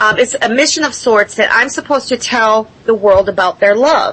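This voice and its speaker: A woman's fairly high, lively voice over noticeable background noise. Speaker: contact experiencer. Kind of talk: panel discussion. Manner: halting.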